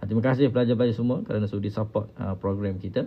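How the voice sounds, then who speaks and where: A man with monotone, flat intonation. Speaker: Quran teacher. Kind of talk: live stream Quran lesson. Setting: live social media stream. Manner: straining voice.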